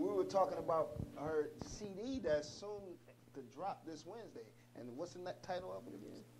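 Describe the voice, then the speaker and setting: A man speaks at a moderate pace with big swings in loudness. Noticeable background noise runs through the clip. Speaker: talk show host. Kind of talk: interview questions.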